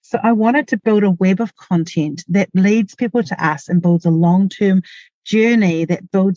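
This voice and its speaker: With a New Zealand accent, a woman speaks at a moderate pace and medium pitch with ordinary pitch variation and a dark, mellow tone. Her loudness stays very even, and the sound is dry and close with no echo. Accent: New Zealand (Kiwi). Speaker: marketing podcast host, small business owner. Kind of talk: solo podcast tutorial. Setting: in a parked car in a garage.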